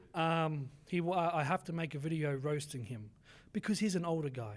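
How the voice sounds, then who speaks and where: On a very clean recording with a silent background, a man with an Australian accent speaks at a fairly high pitch. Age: 20s. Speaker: fitness coach and content creator. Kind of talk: podcast interview answer.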